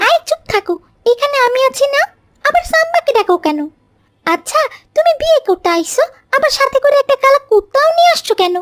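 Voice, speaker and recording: Using a cartoonish character voice, a woman speaks at an extremely high pitch. Her pace is moderate. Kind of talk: comic cartoon voice acting.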